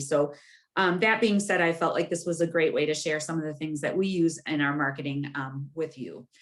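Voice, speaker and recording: This woman has a fairly low voice with ordinary pitch variation. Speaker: bank marketing specialist giving a presentation. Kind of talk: webinar presentation. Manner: fast.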